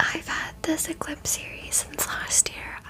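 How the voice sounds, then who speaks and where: A whisper at a moderate pace, with noticeable background noise behind it. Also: woman. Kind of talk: ASMR favorites video, casual talk to camera. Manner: whispered, close-mic.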